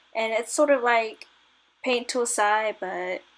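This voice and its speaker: A woman speaks quietly at a fairly high pitch. Her tone is tired. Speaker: digital artist. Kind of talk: casual voice-over narration while drawing. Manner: nervous, hesitant; tired, quiet.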